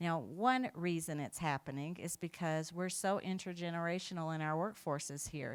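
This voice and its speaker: Recorded very cleanly against a silent background, a woman with an ordinary speaking voice talks at a moderate pace in a fairly low pitch. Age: 60s. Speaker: keynote speaker, equity consultant. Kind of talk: conference keynote.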